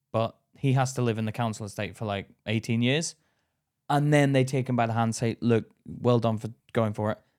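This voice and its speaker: A man with an English accent speaks at a fairly quick pace and medium pitch, his intonation fairly even. The recording is very clean with a silent background, and the sound is dry and close with no echo. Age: 30s. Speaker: podcast co-host, comedian. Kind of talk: casual chat.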